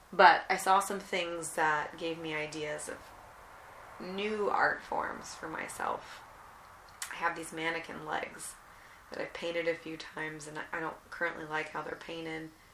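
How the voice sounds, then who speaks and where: A woman with a fairly low pitch speaks at a fairly slow pace in a relaxed tone, her intonation monotone and flat. Noticeable background noise and audible room echo surround her. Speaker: artist and memoir podcaster. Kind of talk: casual monologue and memoir reading. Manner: relaxed, unhurried.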